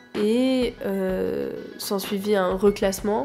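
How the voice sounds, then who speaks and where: Music can be heard in the background. The speaker is a woman. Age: 20s. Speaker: photographer. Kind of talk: personal testimony.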